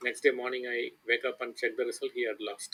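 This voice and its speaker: At a moderate pace, a man talks with an Indian accent. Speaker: chess coach. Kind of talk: lecture. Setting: online voice chat.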